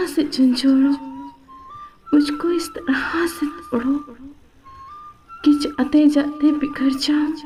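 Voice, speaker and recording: A woman's high, sad voice in a flat monotone, with music in the background. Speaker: poetry reciter. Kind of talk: poetry reading. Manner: sad, emotional.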